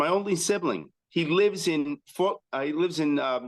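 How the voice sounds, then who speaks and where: A man with a normal speaking voice, fairly high in pitch, in an American accent, with fairly even intonation and a dry, close sound with no echo. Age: 60s. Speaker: chiropractor. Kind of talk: interview. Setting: podcast.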